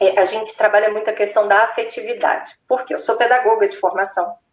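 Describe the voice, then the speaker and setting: A woman is speaking. She has a Minas Gerais accent. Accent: Minas Gerais accent, noticeable. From Minas Gerais, Brazil. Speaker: neuropsychopedagogue and educator. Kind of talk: live-stream interview.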